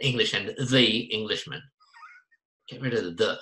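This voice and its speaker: A bright, sharp tone in an Australian accent at a fairly quick pace. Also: man. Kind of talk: casual chat. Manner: animated.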